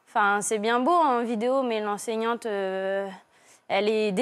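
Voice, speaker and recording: A woman's fairly high voice at a fairly slow pace, with lively intonation and a quiet background. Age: 20s. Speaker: primary school teacher; young teacher, guest. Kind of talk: testimony. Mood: troubled, emotional recounting. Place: studio. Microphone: lapel.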